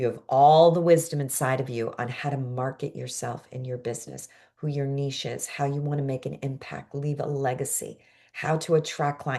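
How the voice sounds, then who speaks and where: A woman with an American accent talks at a moderate pace in a very deep, low pitch. Her tone is animated. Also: quiet background. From New York, Brooklyn. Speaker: coach and course teacher. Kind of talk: online class.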